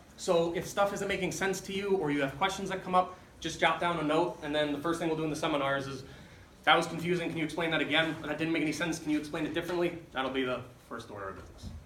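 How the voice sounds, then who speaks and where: With an American accent, a man speaks at a very fast pace and a fairly high pitch. Noticeable background noise and audible room echo fill the recording. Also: ordinary pitch variation. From US Midwest, Chicago. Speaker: lecturer, doctoral student. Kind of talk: lecture. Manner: animated.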